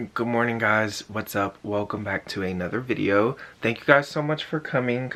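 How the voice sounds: Using a put-on character voice, a man speaks at a moderate pace in a raspy, medium-pitched tone with ordinary pitch variation.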